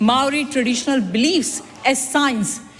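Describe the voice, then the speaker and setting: There is noticeable background noise as a woman talks at a moderate pace in a high pitch. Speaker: politician. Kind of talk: parliamentary speech. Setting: parliament chamber. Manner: emphatic, repetitive.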